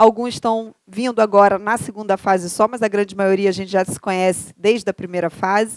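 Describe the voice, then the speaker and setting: A woman speaks in a Carioca accent. The recording is very clean, with a silent background and a dry, close sound with no echo. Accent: Carioca (Rio) accent, noticeable. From Rio de Janeiro, Brazil. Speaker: law professor. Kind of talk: lecture. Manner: conversational, rhetorical questions.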